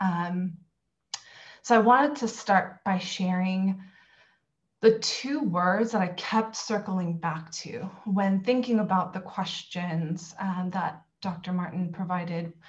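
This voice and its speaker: Somewhat breathy, a woman talks with ordinary pitch variation. Her pace is very slow. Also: medium pitch for a woman. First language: Korean. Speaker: university multicultural affairs director. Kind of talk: panel discussion remarks. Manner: many fillers (um, uh).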